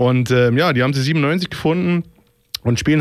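A man is speaking. His pitch is fairly high, with ordinary pitch variation. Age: 30s. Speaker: radio DJ. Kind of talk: casual radio moderation. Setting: studio. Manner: hesitant with many fillers.

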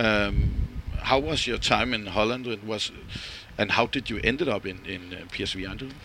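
A man with a Danish accent speaks at a moderate pace and fairly low pitch, with a bright, sharp tone, vocal fry, ordinary pitch variation and long, frequent pauses. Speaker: fan radio interviewer. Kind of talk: interview; podcast intro. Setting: on location in Istanbul.

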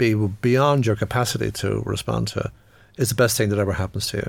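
A man with a Dublin accent speaks at a moderate pace in a fairly low pitch. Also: very clean recording, silent background. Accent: Dublin Irish. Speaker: economist and former politician. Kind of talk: interview. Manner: halting.

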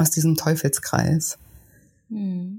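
A woman speaks at a fairly slow pace, somewhat breathy. Her pitch is very deep and low. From southern Germany, Lake Constance and Westerwald. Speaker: weight-loss coach. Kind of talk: interview conversation.

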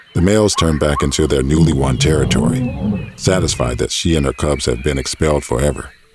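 A man with a very deep, low pitch delivers his lines in a dramatic tone at a fairly quick pace. His intonation is lively, and noticeable background noise sits behind him. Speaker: voiceover narrator. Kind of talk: scripted narration demo reel. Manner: dramatic, suspenseful, measured.

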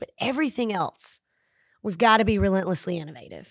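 A plain, everyday voice with an American accent talks at a moderate pace. The recording is very clean with a silent background. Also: woman. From Tennessee, US South. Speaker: high school principal. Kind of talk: casual interview.

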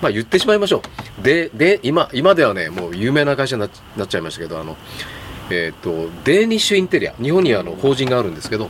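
A man at medium pitch, very wide pitch swings and a very fast pace, against noticeable background noise. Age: 60s. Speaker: third-generation furniture store owner. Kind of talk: casual chat.

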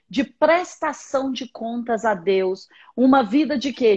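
A woman with a high pitch speaks at a very slow pace with lively intonation. The sound is dry and close, with no echo. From Minas Gerais, Brazil (Patos de Minas). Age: 40s. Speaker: bishop and pastor. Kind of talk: religious teaching in a live-stream interview. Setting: live stream video call.

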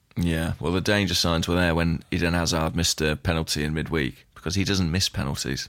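A man with a British accent speaks at a fairly quick pace, his very deep, low voice held to fairly even intonation and very even loudness. He hardly pauses, and the recording is very clean with a silent background. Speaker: podcast host. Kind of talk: casual chat. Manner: hesitant, dry humour.

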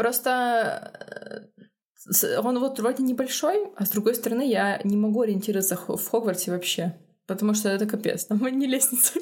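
A woman's unremarkable speaking voice, fairly high in pitch with ordinary pitch variation, at a moderate pace and very even loudness. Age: 30s. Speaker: podcast co-host, screenwriter and narrative designer. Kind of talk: casual chat.

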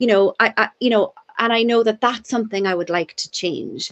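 This woman speaks with a Cork accent. Her pitch is fairly high. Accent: Cork Irish. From Ireland, Cork (Douglas). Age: 50s. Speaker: addiction and youth worker. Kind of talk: casual chat. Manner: fast.

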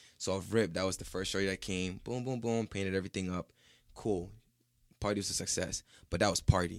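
Someone with an American accent talks at a fairly quick pace, keeping the intonation fairly even. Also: man, fairly low pitch for a man. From Ghana. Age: 20s. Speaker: painter and body artist. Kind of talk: casual chat.

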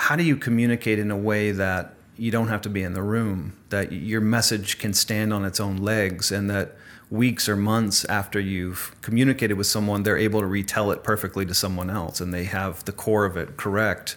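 This is an unremarkable speaking voice at a fairly quick pace with fairly even intonation. The recording is very clean, with a silent background. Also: man. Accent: American. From US. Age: 40s. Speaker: author. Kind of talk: interview.

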